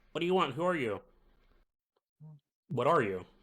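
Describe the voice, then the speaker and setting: Putting on a squeaky character voice, a man speaks at a moderate pace with a fairly high pitch and very wide pitch swings. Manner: nervous, alarmed.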